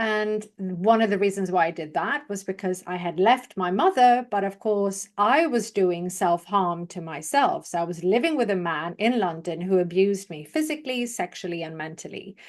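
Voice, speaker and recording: A woman at a medium pitch, lively intonation, moderate pace and hardly any pauses, against a quiet background. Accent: British. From Sweden. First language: Swedish. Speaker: public speaking coach. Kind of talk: interview testimony.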